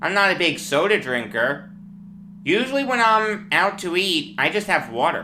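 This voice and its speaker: A woman with a Long Island accent speaks at a moderate pace in a medium-pitched, bright, sharp voice with vocal fry and very wide pitch swings. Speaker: sports talk host. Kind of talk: sports commentary monologue. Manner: animated.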